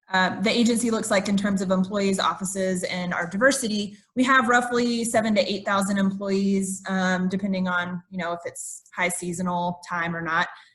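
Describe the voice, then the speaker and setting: At a medium pitch and a moderate pace, a woman speaks with fairly even intonation, hardly any pauses, and an ordinary speaking voice. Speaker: diversity recruiter for a federal agency. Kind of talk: conference presentation.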